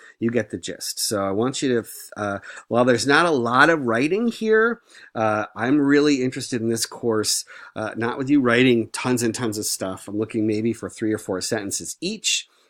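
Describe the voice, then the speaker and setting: An unremarkable speaking voice from a man, with ordinary pitch variation and a moderate pace on a very clean recording with a silent background. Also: medium pitch for a man. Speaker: professor. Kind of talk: tutorial.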